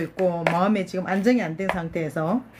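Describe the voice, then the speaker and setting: A woman with a medium-pitched voice and ordinary pitch variation talks while noticeable background noise carries on behind her. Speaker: YouTuber. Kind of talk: casual chat.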